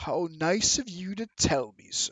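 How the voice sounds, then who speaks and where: Using a put-on character voice, a man pitches his speech high. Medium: actual play. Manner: arrogant, menacing.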